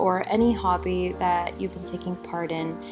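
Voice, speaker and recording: Music plays in the background as a woman with a General American accent speaks at a moderate pace. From Phoenix, Arizona. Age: 20s. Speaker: university student. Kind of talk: casual talk to camera.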